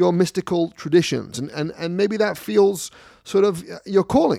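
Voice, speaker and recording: The voice has a dark, mellow tone and a moderate pace. It is a very clean recording, with a silent background. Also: man. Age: 40s. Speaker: podcast host and rabbi. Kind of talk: casual banter podcast. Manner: joking, interrupting, hesitant with filler words.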